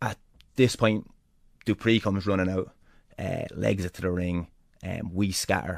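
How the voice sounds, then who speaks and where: Using a very deep, low pitch and an Irish accent, a man speaks at a moderate pace with long, frequent pauses. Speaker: pro wrestler. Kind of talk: interview storytelling. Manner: animated.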